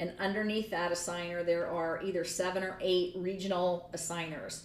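A woman at medium pitch, with an American accent and audible room echo. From Michigan. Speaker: college gymnastics head coach. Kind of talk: interview.

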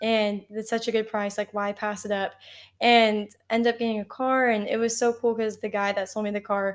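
A woman with an American accent speaks very fast in a monotone, flat intonation at a fairly high pitch. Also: very clean recording, silent background. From Texas, College Station. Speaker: podcast co-host. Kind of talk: casual chat.

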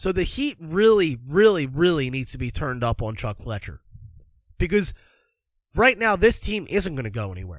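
In a very clean recording with a silent background, a man with an American accent and a fairly high pitch speaks at a moderate pace, with very wide pitch swings and big swings in loudness. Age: 20s. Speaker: hockey podcast host. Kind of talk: casual solo podcast commentary.

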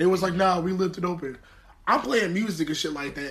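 A man with an American accent speaks fairly quickly in a high pitch, his voice raised and projected. His tone is animated, and there is noticeable background noise. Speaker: podcast co-host. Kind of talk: casual chat.

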